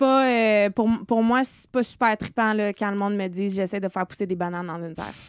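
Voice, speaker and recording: In a plain, everyday voice, a woman talks at a fairly quick pace with hardly any pauses, medium pitch and ordinary pitch variation, on a very clean recording with a silent background and a dry, close sound with no echo. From Quebec, Eastern Townships (Saint-Césaire). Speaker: chef and restaurant owner. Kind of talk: casual interview.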